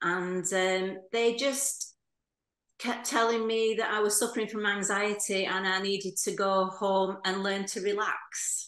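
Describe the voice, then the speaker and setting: In an unremarkable speaking voice, a woman speaks at a fairly slow pace with medium pitch and fairly even intonation against a quiet background. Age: 60s. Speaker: heart attack survivor, retired hairdresser. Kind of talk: interview testimony. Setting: video call.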